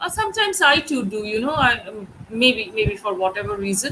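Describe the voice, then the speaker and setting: Talking at a fairly quick pace with a Bengali accent, a woman with a fairly high pitch is heard over noticeable background noise. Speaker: English teacher. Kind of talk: online class lecture. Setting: live stream. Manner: hesitant, many fillers.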